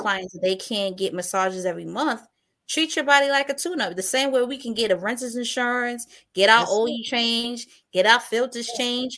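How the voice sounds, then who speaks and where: Heard in an unremarkable speaking voice with an American accent, the speaker goes at a moderate pace with ordinary pitch variation on a very clean recording with a silent background. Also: woman. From New York City. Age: 30s. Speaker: journalist and massage practitioner. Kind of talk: interview podcast conversation.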